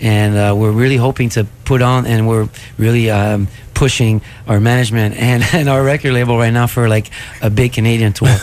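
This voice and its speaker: A man talks with a Quebec accent at a fairly quick pace. His intonation is monotone and flat, his loudness very even. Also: medium pitch for a man. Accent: Québécois French accent in English. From Quebec City. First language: French. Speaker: rock musician. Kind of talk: radio interview. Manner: hesitant, many fillers.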